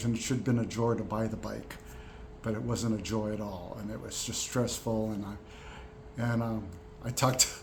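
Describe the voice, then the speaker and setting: A man's medium-pitched voice at a moderate pace, flat and monotone, broken by long, frequent pauses, with noticeable background noise. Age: 60s. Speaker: veteran program participant. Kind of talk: casual talk to camera. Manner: hesitant, many fillers.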